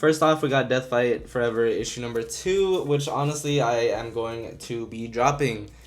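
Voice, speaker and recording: Man at a medium pitch with ordinary pitch variation, hardly any pauses, and audible room echo. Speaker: comic book YouTuber. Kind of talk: casual solo vlog review. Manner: casual, some stumbling; fast.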